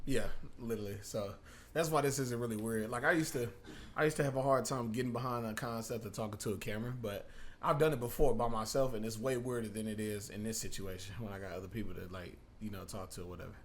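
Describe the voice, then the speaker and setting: This man talks at a very fast pace and a medium pitch, with ordinary pitch variation. Audible room echo is present. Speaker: podcast co-host. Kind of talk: casual chat. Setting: in-person studio podcast.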